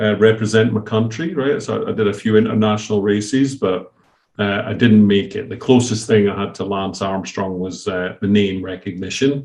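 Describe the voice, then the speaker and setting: Fairly low in pitch, a man with a Scottish accent talks with fairly even intonation. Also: moderate pace. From Scotland. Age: 50s. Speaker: company founder and CEO. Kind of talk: podcast interview.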